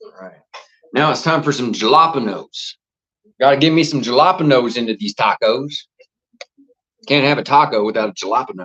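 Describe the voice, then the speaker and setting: Speaking at a fairly quick pace with a Southern US accent, a man with a fairly high pitch uses ordinary pitch variation, big swings in loudness, and long, frequent pauses. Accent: Southern American. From US South. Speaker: football watchalong streamer. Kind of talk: live watchalong commentary. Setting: home livestream, cooking while talking. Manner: casual, animated.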